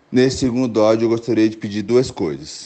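Over music in the background, a man speaks with fairly even intonation at a fairly low pitch. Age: 30s. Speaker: listener, history teacher. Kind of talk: recorded voice message. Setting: WhatsApp voice message.

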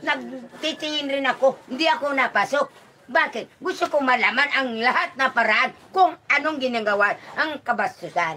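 Over light background noise, a woman with a high voice speaks at a moderate pace in a raised, projected voice, her intonation lively and her loudness very even. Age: 80s+. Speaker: elderly villager. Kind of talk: casual chat. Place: home room. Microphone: phone near.

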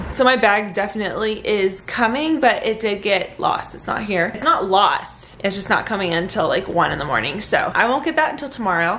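With light background noise, a woman talks at a fairly quick pace with lively intonation and hardly any pauses. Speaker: vlogger. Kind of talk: casual vlog chat. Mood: upbeat despite lost bag. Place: home room. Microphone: phone near.

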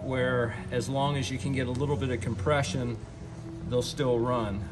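Clear music plays behind a man as he talks. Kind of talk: tutorial. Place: garage. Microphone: phone near.

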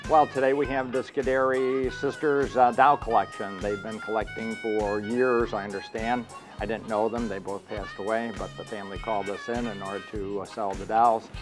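Music plays in the background as a man speaks with an American accent. His pitch is medium with ordinary variation, and his pace is moderate. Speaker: auctioneer. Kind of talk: interview answer. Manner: casual.

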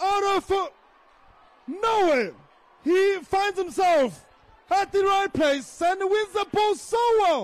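Shouting at a very slow pace with long, frequent pauses, the speaker keeps very even loudness and ordinary pitch variation. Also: man, extremely high pitch for a man. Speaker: football commentator. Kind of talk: live match commentary. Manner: animated.

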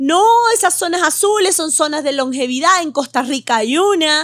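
Ordinary pitch variation at a moderate pace, against a quiet background. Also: woman. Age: 50s. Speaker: medical doctor; podcast guest. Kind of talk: interview with live audience. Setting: hotel venue with live audience. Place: studio. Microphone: studio mic.

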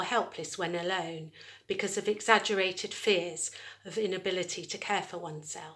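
A woman talks fairly quickly, her pitch shifting in an ordinary way. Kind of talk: lecture. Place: home room. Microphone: phone near.

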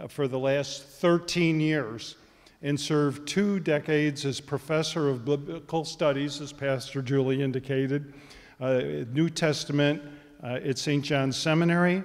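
Intonation here stays fairly even. The male speaker takes a fairly slow pace. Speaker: event host introducing speaker. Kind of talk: formal introduction. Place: church. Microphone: handheld.

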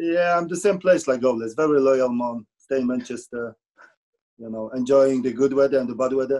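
Against a quiet background, a man with a Polish accent speaks at a moderate pace in a dark, mellow tone, medium in pitch with ordinary pitch variation. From Poland. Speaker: former goalkeeper; guest. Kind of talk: casual chat. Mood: warm, enthusiastic. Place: home room. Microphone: video call.

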